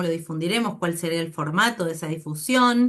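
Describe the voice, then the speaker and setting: A woman's voice with ordinary pitch variation. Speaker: anthropology researcher. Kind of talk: academic seminar talk. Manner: hesitant, many fillers.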